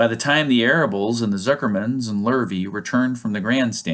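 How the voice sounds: Ordinary pitch variation in a natural reading voice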